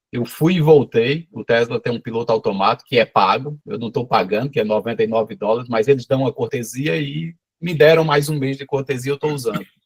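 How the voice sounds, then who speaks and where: A man at medium pitch, somewhat breathy, with lively intonation, a fairly quick pace and hardly any pauses, in a dry, close sound with no echo. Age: 50s. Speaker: small cheese producer. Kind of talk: casual chat. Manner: animated.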